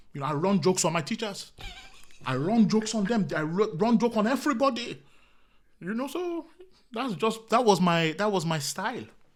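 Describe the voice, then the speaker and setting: A man with an African accent and a high pitch talks at a fairly quick pace, with very wide pitch swings and long, frequent pauses. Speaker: comedian. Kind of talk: casual chat.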